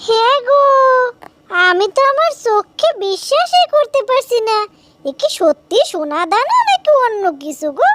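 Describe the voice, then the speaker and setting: Using a cartoonish character voice, the speaker moves at a fairly slow pace with very wide pitch swings. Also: woman, extremely high pitch for a woman. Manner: warm, homely.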